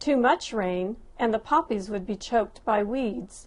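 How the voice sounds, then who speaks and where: Using a plain, everyday voice, a woman talks at a moderate speed, her fairly high pitch varying in an ordinary way. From Southern California (Lancaster, Antelope Valley). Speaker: personal essay writer. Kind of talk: reading aloud a personal essay.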